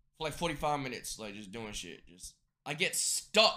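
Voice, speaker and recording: Here a man uses a raised, projected voice with a bright, sharp tone. His intonation is lively and his pace moderate. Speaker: streamer. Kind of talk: casual stream chat. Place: home room.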